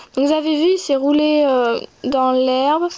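Speaking at a fairly slow pace, a woman keeps her high voice fairly even in intonation. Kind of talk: gameplay commentary. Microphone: phone near.

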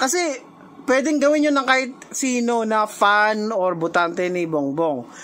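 With very wide pitch swings, a woman speaks at a fairly high pitch and a fairly slow pace. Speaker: reaction video creator arguing with a friend. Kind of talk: heated argument on a call. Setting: messenger call. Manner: animated, frequent laughing.

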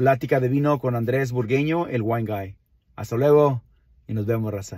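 In a dry sound with no echo and a quiet background, a man at a medium pitch speaks at a fairly slow pace with ordinary pitch variation. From Mexico, Nayarit (Villa Juárez, Santiago Ixcuintla); Nayarit, Mexico. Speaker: wine enthusiast, channel host; channel host. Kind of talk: casual vlog monologue. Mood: warm, proud, friendly. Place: car. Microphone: phone near.

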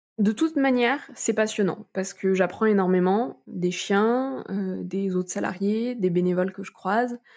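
A woman's voice, medium in pitch with ordinary pitch variation, moves along at a moderate pace. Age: 20s. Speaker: guide dog kennel worker. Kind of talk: interview. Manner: hesitant, many fillers.

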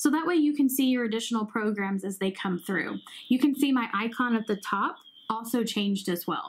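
A woman talks at a fairly quick pace. Her voice sounds somewhat breathy. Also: lively intonation. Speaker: hearing care professional demonstrating app. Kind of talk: tutorial.

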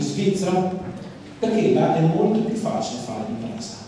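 Strong room echo surrounds the voice, with light background noise underneath. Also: man. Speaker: politician. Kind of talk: political speech. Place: hall.

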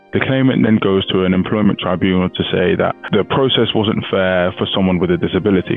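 A man's very deep, low voice with ordinary pitch variation, fairly quick pace, hardly any pauses and very even loudness, dry with no echo, faint music in the background. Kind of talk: explainer commentary on a legal case. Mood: calm, explanatory. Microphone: headset.

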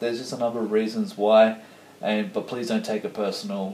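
A man's voice carries an audible room echo. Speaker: vlogger. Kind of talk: casual vlog chat. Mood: ranting, mildly annoyed. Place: kitchen. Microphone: camera far.

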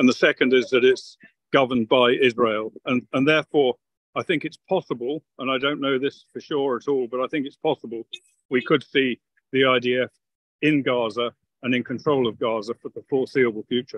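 Speaking with a British accent, a man keeps a medium pitch and fairly even intonation at a moderate pace. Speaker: retired army officer, military analyst. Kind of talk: interview analysis. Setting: video call from a car.

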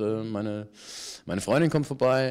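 This voice belongs to a man. He varies his pitch in an ordinary way. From Germany (Paderborn, San Francisco, Ludwigsburg). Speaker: actor and voice actor. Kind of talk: casual interview. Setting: theatre bar.

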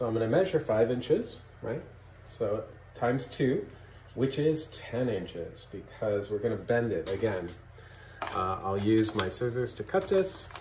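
Amid light background noise and audible room echo, a man speaks at a fairly slow pace with long, frequent pauses. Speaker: craft instructor. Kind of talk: tutorial. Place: home room. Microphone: camera far.

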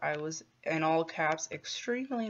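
This is a woman's voice. Her pitch is very deep and low. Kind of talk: casual vlog chat. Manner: slow, low-energy post-surgery voice. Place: home room. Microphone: phone near.

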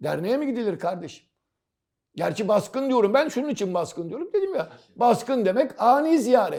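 A man speaks in an animated tone at a moderate pace. His pitch swings very widely. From Istanbul, Turkey (Karagümrük). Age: 60s. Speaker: football commentator. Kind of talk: casual chat.

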